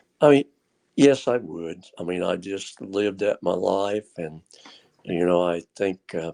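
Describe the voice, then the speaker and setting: A man with a very deep, low pitch speaks in a dark, mellow tone at a fairly slow pace, with ordinary pitch variation. The sound is dry and close, with no echo. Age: 80s+. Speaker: retired tractor puller. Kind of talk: casual chat. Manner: halting.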